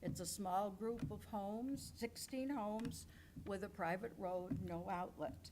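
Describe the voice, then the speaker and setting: The voice has vocal fry and ordinary pitch variation. It moves at a fairly slow pace. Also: woman. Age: 80s+. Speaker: resident speaking at public comment. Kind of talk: public comment. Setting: village board meeting.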